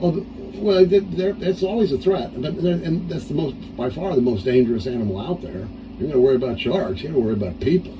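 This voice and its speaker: Talking at a very fast pace, a man uses a fairly high pitch with very wide pitch swings. Noticeable background noise sits behind him. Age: 60s. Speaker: solo sailor and pilot. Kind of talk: casual interview chat. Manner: halting, repeats words.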